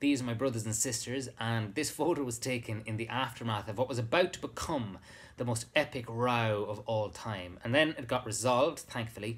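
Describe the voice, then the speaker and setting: A somewhat breathy man's voice with an Irish accent. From Ireland. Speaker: actor. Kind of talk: poetry reading with a short personal introduction. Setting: live webcast, home during lockdown. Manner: warm, sincere, gentle. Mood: warm, reflective. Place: home room. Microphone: webcam.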